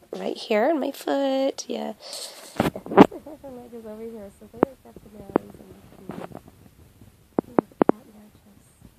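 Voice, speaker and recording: Over noticeable background noise, a woman with a high pitch speaks at a fairly slow pace with lively intonation, big swings in loudness, and long, frequent pauses. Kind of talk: casual talk to camera.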